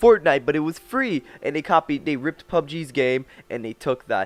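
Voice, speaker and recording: Recorded dry and close with no echo over a quiet background, a man talks at a moderate pace with ordinary pitch variation. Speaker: gaming youtuber. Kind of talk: rant reaction video. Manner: animated, heated.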